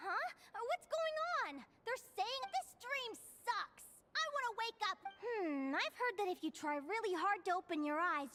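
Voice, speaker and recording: An extremely high pitch defines this put-on character voice. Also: moderate pace. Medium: video game. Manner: animated, expressive.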